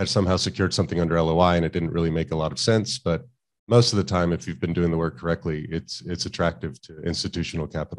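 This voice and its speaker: A man talks at a very fast pace with a very deep, low pitch. The background is quiet. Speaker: finance educator and channel host; finance educator, channel host. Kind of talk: interview. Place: home room. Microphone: studio mic.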